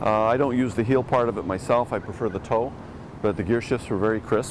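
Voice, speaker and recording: With a Canadian accent, a man speaks at a fairly quick pace. His medium-pitched voice is a plain, everyday voice. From Canada. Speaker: motorcycle journalist. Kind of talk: casual interview.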